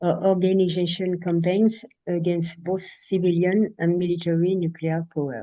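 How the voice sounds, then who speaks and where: A dark, mellow tone with a French accent. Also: woman, fairly low pitch for a woman, fairly even intonation, moderate pace. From France. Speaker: anti-nuclear activist. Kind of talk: prepared speech.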